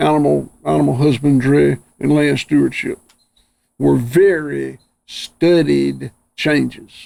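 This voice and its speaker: A man talks with a Southern US accent at a very slow pace. His loudness stays very even. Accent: Southern US (Georgia). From US South, Georgia. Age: 60s. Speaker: rancher. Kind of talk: interview conversation. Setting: outdoors on farm.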